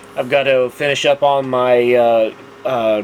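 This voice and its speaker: Over noticeable background noise, a man with a Texas accent speaks at a medium pitch in a monotone, flat intonation. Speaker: scale model builder, video host. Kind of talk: casual tutorial monologue. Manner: halting, many fillers.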